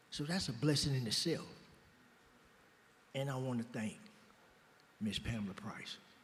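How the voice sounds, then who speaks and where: With an American accent and a medium pitch, a man speaks somewhat breathily at a moderate pace with lively intonation and long, frequent pauses, while room echo is audible. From Oakland, California. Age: 60s. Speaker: former prisoner in a reentry program. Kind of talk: interview on stage. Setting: benefit dinner, stage with audience.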